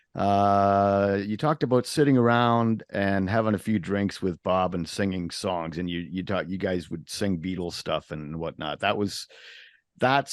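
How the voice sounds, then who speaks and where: A man with an ordinary speaking voice, fairly low in pitch, at a moderate pace with ordinary pitch variation, on a very clean recording with a silent background. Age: 60s. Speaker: interview show host and musician. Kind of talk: casual interview chat.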